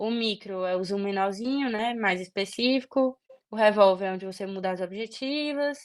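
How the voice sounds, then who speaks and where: Woman at a medium pitch, quiet background behind her. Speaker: medical student tutor. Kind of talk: online tutoring session. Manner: fast.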